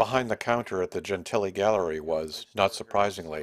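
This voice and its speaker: This man has a plain, everyday voice with an American accent. He speaks at a fairly low pitch and a fairly quick pace with ordinary pitch variation. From Massachusetts, North Shore near Boston. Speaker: documentary filmmaker and reporter. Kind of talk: scripted narration.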